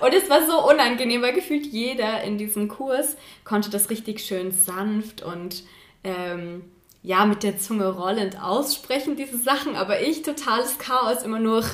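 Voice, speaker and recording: Against noticeable background noise, a woman with a fairly high voice speaks at a fairly slow pace with lively intonation and a slight Saxon accent. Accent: barely noticeable Saxon. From Saxony, Chemnitz. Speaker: university student, podcast co-host. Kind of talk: casual chat.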